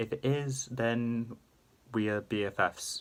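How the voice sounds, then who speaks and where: The speaker is a man with a medium pitch. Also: very clean recording, silent background. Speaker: YouTuber. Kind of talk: casual vlog-style commentary. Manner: quieter than usual, subdued; hesitant with fillers.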